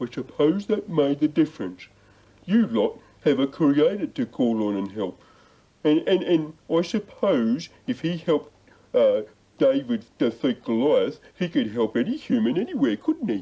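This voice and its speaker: At a moderate pace, a man puts on a character voice with a fairly high pitch. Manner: hesitant, stammering.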